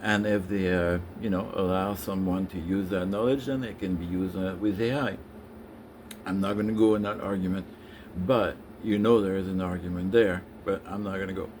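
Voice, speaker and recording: A man with a French accent and a fairly low pitch speaks at a fairly quick pace with fairly even intonation, and audible room echo surrounds him. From France. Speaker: business consultant. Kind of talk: impromptu live stream monologue. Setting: live stream on social media. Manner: hesitant, many filler sounds.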